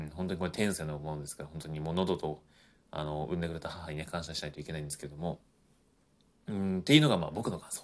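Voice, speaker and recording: With very deep, low pitch, a man speaks at a very fast pace, his intonation fairly even and his loudness swinging widely. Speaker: podcaster, former voice actor. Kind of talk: solo talk. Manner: hesitant, many fillers.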